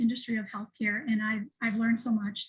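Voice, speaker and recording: This is a woman's voice. Her pitch is high. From Miami, Florida (Cuban-American family). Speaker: podcast host, healthcare executive. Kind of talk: casual podcast introduction.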